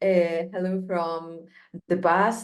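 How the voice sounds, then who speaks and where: Heard with audible room echo, the speaker has a Spanish accent and goes at a very slow pace. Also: woman. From Colombia. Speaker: filmmaker, association representative. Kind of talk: online panel presentation. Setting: video call.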